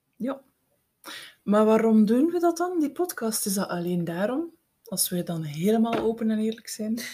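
A woman speaks at a moderate pace in a fairly high voice that is dark, mellow and somewhat breathy. Her pitch swings very widely. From Belgium, East Flanders (Eeklo, Meetjesland). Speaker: podcast co-host, writing coach. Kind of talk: casual chat.

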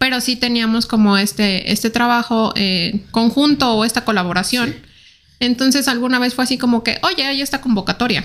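The speaker is a woman with a high voice. Her pitch moves in an ordinary way. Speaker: ballistics expert. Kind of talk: interview. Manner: fast and quiet.

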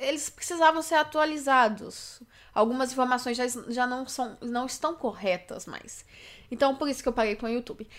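Moderate pace and ordinary pitch variation in a woman's high voice. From Brazil, Belo Horizonte, Minas Gerais. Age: 20s. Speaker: youtuber and podcaster. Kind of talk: podcast intro monologue.

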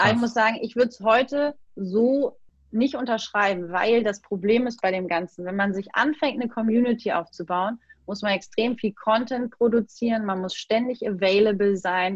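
Her fairly high voice is somewhat breathy, with ordinary pitch variation. The woman keeps a moderate pace while her loudness swings widely. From Hamburg, northern Germany. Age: 30s. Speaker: design coach and social media entrepreneur. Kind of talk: casual interview. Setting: video call.

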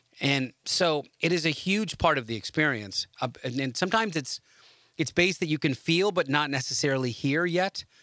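On a very clean recording with a silent background, a man speaks at a moderate pace in a fairly high, bright, sharp tone with lively intonation and a dry, close sound with no echo. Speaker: audio podcast host. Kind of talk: casual podcast monologue. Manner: halting, many fillers.

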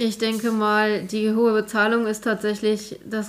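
A woman's fairly high-pitched voice. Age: 20s. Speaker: IT consultant, career changer. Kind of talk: casual chat.

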